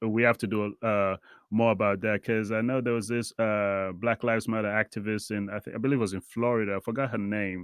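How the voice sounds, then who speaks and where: Against a quiet background, a man talks fairly quickly in a fairly low, monotone voice with flat intonation. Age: 30s. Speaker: podcast host. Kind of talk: casual chat.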